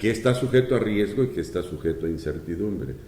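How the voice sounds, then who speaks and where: In a room with audible echo, a man speaks with a dark, mellow, somewhat breathy tone and very wide pitch swings. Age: 70s. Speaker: economist and former public official. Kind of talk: interview. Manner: halting.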